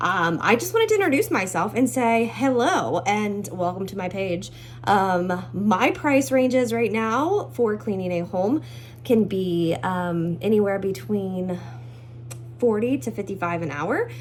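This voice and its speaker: A woman speaks at a fairly slow pace in a medium pitch, her voice swinging very widely in pitch over noticeable background noise. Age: 20s. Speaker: house cleaner. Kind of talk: casual self-introduction video. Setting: at home. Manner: animated.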